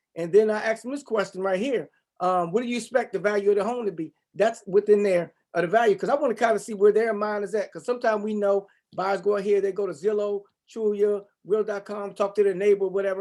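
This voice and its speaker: At a very fast pace, a man with a high pitch talks in fairly even intonation. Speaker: real estate agent. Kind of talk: presentation on video call.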